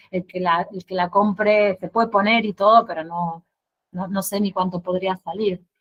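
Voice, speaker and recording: A medium-pitched female voice with fairly even intonation. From Argentina, Santa Fe. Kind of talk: casual Q&A at virtual exhibition opening. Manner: halting, many repetitions and fillers.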